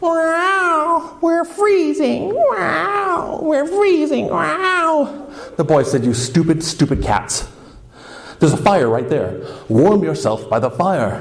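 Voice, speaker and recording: A man speaks very slowly, with noticeable background noise present. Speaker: storyteller. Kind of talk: live folktale storytelling. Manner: casual, humorous.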